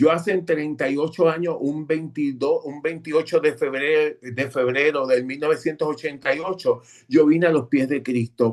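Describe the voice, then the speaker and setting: Here is a man with a normal speaking voice and a fairly high pitch. His pace is moderate, his intonation fairly even, with hardly any pauses. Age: 60s. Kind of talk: testimony.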